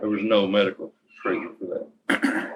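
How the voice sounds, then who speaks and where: A man speaks with a strong Texas accent. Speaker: nonprofit founder. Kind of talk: interview answer, storytelling.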